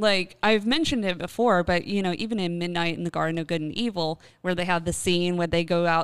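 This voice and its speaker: Fairly low female speech at a fairly quick pace, on a very clean recording with a silent background. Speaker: podcast host, paranormal specialist. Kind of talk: casual chat, ghost story telling. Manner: animated, conversational.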